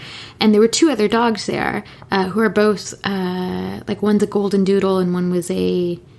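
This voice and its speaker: Noticeable background noise sits behind this recording. A woman speaks at a medium pitch with fairly even intonation. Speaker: podcast co-host. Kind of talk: casual conversation, relaxed podcast talk. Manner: calm, unhurried.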